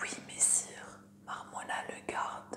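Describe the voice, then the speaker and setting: A woman whispers over noticeable background noise. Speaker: ASMR creator. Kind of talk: fantasy novel reading. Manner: whispered, soft.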